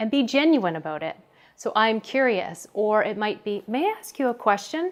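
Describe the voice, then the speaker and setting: A soft-spoken voice at a moderate pace with lively intonation, recorded very cleanly against a silent background. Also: woman. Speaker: workplace wellness coach. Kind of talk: tutorial. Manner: soft and genuine.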